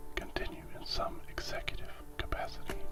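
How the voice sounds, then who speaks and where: Whispered speech at a moderate pace over noticeable background noise. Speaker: ASMR content creator reading stories. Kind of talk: ASMR story reading, whispered relaxation. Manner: whispered, soft-spoken.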